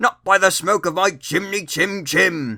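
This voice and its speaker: Putting on a character voice, a man sounds raspy and high-pitched. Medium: read story.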